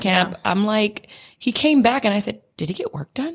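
The woman's voice is pitched fairly high. There is a somewhat breathy quality to it. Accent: Californian. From California. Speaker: podcast co-host. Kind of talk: casual chat.

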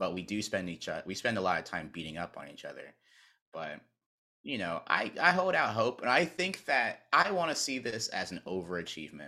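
Speaking fairly quickly with an American accent, a man of medium pitch has a bright, sharp tone, vocal fry, very wide pitch swings and big swings in loudness, all on a very clean recording with a silent background. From North Carolina. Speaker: sports video producer and content creator. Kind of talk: casual interview chat.

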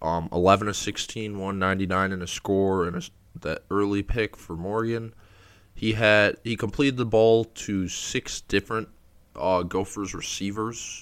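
Recorded very cleanly with a silent background, a man uses an unremarkable speaking voice, fairly low in pitch with fairly even intonation. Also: moderate pace. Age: 20s. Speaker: college football podcast host. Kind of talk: solo sports podcast commentary. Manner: frequent fillers (um, uh).

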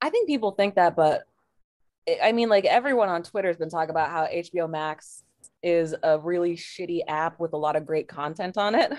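This woman has a plain, everyday voice, pitched fairly low. She speaks at a fairly quick pace with ordinary pitch variation. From Portland, Oregon. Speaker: comedian. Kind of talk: casual chat.

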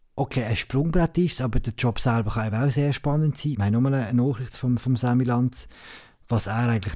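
Recorded very cleanly with a silent background, a man with a dark, mellow tone speaks at a moderate pace and medium pitch, with ordinary pitch variation. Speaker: podcast host. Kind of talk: casual chat.

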